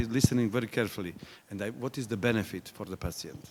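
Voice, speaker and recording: A man at a very fast pace, medium in pitch, with ordinary pitch variation and big swings in loudness. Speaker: patient representative. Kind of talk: workshop discussion.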